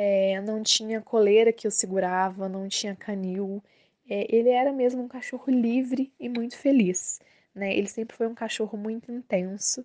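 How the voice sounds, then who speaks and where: A woman's fairly high voice with a dark, mellow tone, at a moderate pace against a quiet background. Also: fairly even intonation. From Minas Gerais, Brazil. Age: 30s. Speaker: social worker, listener. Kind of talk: recorded personal testimony.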